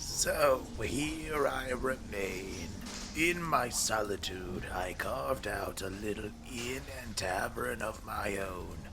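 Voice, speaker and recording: A man puts on a raspy character voice at a fairly low pitch. He speaks at a very slow pace over loud background noise. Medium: audio drama. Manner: courteous, old-fashioned.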